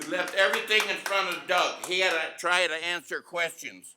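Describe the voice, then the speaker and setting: A man talks loudly at a moderate pace. His voice is high, bright and sharp. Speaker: village trustee. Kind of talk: heated debate.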